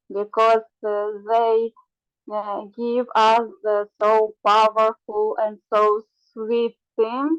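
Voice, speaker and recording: Over music in the background, a woman with a fairly high pitch speaks very slowly in a flat, monotone intonation. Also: dry, close sound with no echo. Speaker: devotee sharing in a study group. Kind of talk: personal sharing in an online group. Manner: halting, many fillers.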